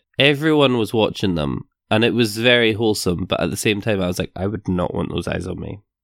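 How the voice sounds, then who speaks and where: With a plain, everyday voice, a man speaks at a fairly low pitch and a fairly quick pace, his intonation lively. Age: 20s. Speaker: podcast co-host. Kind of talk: casual chat.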